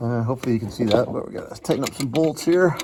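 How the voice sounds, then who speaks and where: A man with ordinary pitch variation over noticeable background noise. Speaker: car DIY youtuber. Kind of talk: casual workshop tutorial. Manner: halting; loud.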